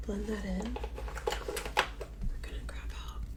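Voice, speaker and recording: A soft-spoken woman with a gentle tone talks in a very deep, low voice and a monotone, flat intonation. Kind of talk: ASMR get ready with me, casual talk to camera. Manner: soft-spoken, gentle; repeats phrases softly.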